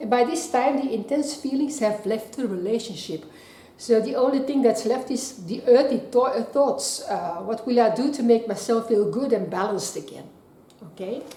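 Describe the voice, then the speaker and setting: A woman with a non-native accent speaks at a moderate pace and a high pitch, with ordinary pitch variation. Noticeable background noise runs under her voice. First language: not English. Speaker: tarot card reader. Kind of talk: tarot reading to camera.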